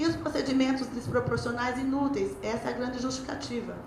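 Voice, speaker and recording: A woman talks at a fairly quick pace and high pitch, with audible room echo and noticeable background noise. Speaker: lawyer. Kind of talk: lecture. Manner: fast.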